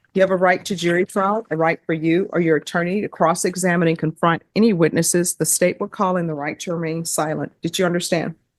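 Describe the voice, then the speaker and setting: This woman talks very fast in a Louisiana accent, with hardly any pauses and a fairly low pitch. Her intonation is flat and monotone, and the sound is dry and close with no echo. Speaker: judge. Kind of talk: courtroom proceedings. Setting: courtroom. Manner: formal.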